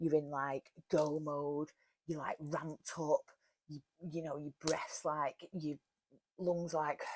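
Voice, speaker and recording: With a Cheshire accent, a woman speaks in a very deep, low pitch at a very slow pace, leaving long, frequent pauses. Her intonation is flat and monotone, her loudness swings widely, and the sound is dry and close with no echo. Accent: broad Warrington. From northern England, Warrington. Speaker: wellness podcaster. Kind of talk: casual talk.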